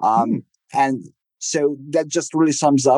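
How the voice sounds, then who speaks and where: His tone is dark and mellow. The man's voice sounds dry and close, with no echo. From Eastern Europe. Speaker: agency CEO. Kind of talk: interview. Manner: halting.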